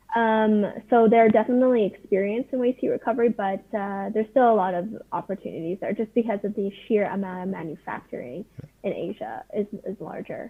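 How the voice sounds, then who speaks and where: An ordinary speaking voice in a Canadian accent, at a fairly quick pace with ordinary pitch variation. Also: woman, fairly high pitch for a woman. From Canada. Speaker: startup founder pitching to investors. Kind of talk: video call pitch Q&A.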